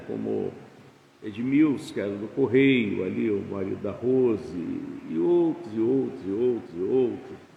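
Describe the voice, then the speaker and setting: Fairly slow speech from a man, with audible room echo. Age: 70s. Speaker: pastor. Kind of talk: sermon. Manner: casual, conversational.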